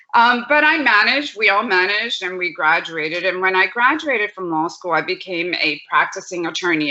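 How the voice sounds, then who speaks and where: A woman with a Spanish accent, lively intonation and a moderate pace, against noticeable background noise. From Puerto Rico. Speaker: law professor. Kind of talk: panel talk with slides.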